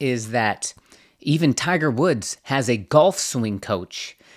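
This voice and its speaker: The voice is a plain, everyday voice with lively intonation at a fairly slow pace. The recording is very clean, with a silent background. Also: man. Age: 40s. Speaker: podcast host. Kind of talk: casual chat.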